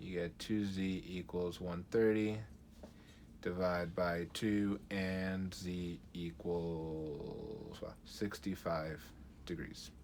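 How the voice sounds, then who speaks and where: Very slowly, a man speaks with a very deep, low pitch. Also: fairly even intonation. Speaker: math teacher. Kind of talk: tutorial.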